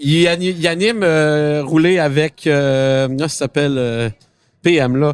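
A man's fairly high-pitched voice at a very slow pace, with ordinary pitch variation and a dry, close sound with no echo. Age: 20s. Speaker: car podcast host. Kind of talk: casual chat. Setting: auto show floor with public.

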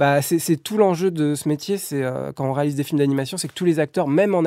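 Fairly quick and fairly high-pitched, a man talks with a dark, mellow tone and fairly even intonation. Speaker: animation film director. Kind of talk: interview.

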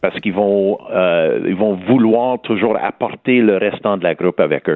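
Speaking with a West Island Montreal accent, a man talks at a moderate pace in a fairly low pitch with fairly even intonation. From Montreal West Island. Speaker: homeless shelter director. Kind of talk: radio interview. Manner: halting, many hesitations.

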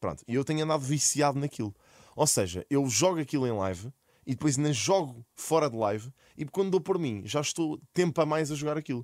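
A man with an unremarkable speaking voice, fairly high-pitched and fairly quick, with lively intonation, on a very clean recording with a silent background and a dry, close sound with no echo. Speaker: streamer and content creator. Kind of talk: casual chat.

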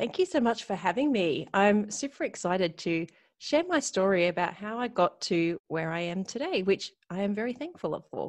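With an Australian accent, a woman speaks at a moderate pace and medium pitch, hardly pausing, her intonation lively against a quiet background. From Australia, Sydney. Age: 40s. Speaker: retail business coach. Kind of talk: interview.

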